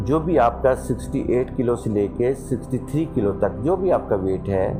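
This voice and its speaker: Music plays in the background as someone speaks with lively intonation. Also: man, medium pitch for a man. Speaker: meditation guide and success coach. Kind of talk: guided meditation.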